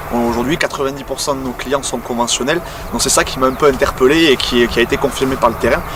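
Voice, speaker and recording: Noticeable background noise runs through the clip. A man speaks over it at a fairly quick pace. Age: 20s. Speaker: agricultural sales technician. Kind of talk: workplace testimony interview. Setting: on a client's farm.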